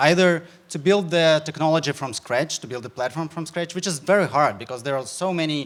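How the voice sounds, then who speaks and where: With a Ukrainian accent, a man speaks fairly quickly at a fairly high pitch, his pitch varying in an ordinary way. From Ukraine. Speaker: startup founder. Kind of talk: sales pitch. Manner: halting.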